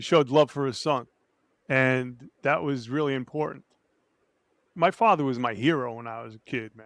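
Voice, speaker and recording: A medium-pitched man with an American accent at a moderate pace, ordinary pitch variation and long, frequent pauses, in a very clean recording with a silent background and a dry, close sound with no echo. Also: big swings in loudness. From New Jersey, Hudson County. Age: 60s. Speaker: 9/11 survivor and entrepreneur. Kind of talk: interview testimony. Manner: casual, animated storytelling.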